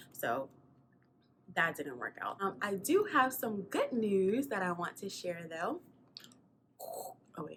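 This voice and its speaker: A woman with an American accent at a medium pitch, very slow, with very wide pitch swings and long, frequent pauses. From South Carolina. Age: 20s. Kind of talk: casual talk to camera.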